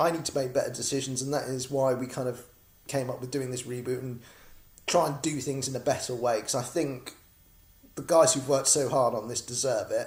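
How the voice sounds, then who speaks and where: A man with a British accent at a fairly quick pace, somewhat breathy, with monotone, flat intonation. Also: medium pitch for a man. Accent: British, noticeable. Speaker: comic creator and crowdfunding campaigner. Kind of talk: casual video vlog update. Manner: chatty, rambling with filler words.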